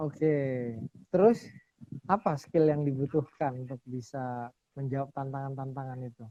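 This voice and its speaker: Recorded dry and close with no echo, a man's fairly high voice has a dark, mellow tone, a fairly slow pace and big swings in loudness. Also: ordinary pitch variation. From Surabaya, East Java. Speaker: lawyer and show host. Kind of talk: casual interview chat.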